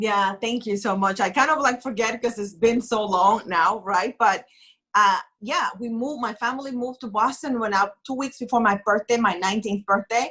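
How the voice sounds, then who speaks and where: A woman with a fairly high voice speaks with a non-native accent. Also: ordinary pitch variation, moderate pace. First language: not English. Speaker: author and writing coach. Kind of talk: interview. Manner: animated.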